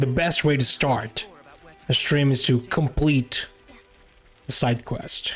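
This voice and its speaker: With music in the background, a man in an Italian accent talks at a very slow pace and medium pitch, using long, frequent pauses, very even loudness and fairly even intonation. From Italy. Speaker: gaming streamer. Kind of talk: casual chat.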